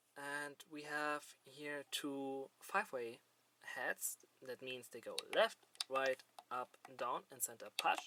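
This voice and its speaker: The speech comes at a very slow pace in a non-native accent, with big swings in loudness. The sound is dry and close, with no echo. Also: man. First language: not English. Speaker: gaming hardware reviewer. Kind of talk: improvised product review. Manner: halting, many fillers.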